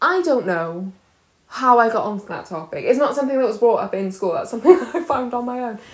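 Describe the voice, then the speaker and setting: At a very fast pace, a woman with a South Wales accent speaks at a high pitch, with very wide pitch swings and big swings in loudness. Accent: South Wales valleys. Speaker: comedian. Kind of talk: casual chat.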